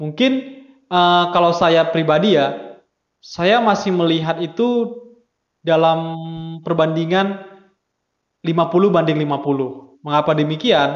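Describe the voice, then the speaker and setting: A man at a very slow pace, with lively intonation, very even loudness, long and frequent pauses, and audible room echo. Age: 20s. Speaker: university student. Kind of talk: student discussion podcast. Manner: hesitant with many fillers.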